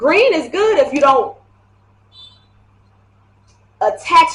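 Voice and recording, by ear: A woman speaks at a slow pace with lively intonation. Her tone is fairly bright.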